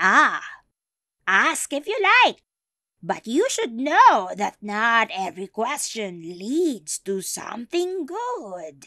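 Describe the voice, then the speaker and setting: Cackling in a put-on character voice, a woman speaks at a very slow pace with a fairly high pitch. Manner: cackling, ominous.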